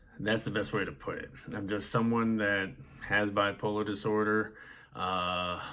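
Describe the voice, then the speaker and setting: The speaker has an American accent and a bright, sharp tone, talks at a moderate pace, and is heard with audible room echo. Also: man. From US Northeast. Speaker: mental health podcast host. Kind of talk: personal testimony monologue. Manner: hesitant with many fillers.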